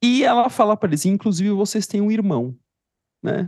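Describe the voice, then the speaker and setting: At a fairly quick pace, a man speaks with a dry, close sound and no echo. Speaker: psychologist podcast co-host. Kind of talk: casual chat.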